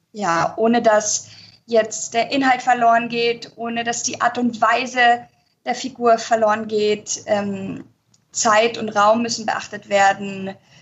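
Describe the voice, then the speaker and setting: Fairly even intonation marks this woman's speech. She speaks at a very slow pace. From Spain. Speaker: musical performer and translator. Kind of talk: interview. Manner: hesitant with many fillers.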